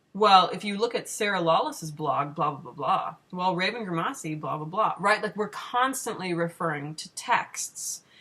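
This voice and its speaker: A woman's medium-pitched voice at a moderate pace, with lively intonation, big swings in loudness, hardly any pauses and noticeable background noise. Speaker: pagan video blogger. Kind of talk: casual vlog monologue. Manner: slurring.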